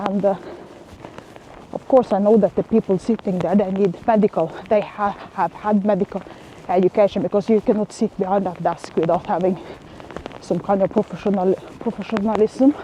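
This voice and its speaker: A woman's medium-pitched voice at a moderate pace, with fairly even intonation and long, frequent pauses, in a dry, close sound with no echo and noticeable background noise. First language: not English. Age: 40s. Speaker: vlogger. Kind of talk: casual vlog monologue. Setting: outdoors walking in the rain. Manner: halting, many fillers.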